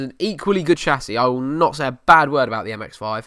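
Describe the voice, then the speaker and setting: Talking at a very fast pace, a man speaks with an Essex accent at a medium pitch. His tone is bright and sharp. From Essex, England. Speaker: podcast host. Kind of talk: casual chat. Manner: casual, hesitant with fillers. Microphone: new microphone.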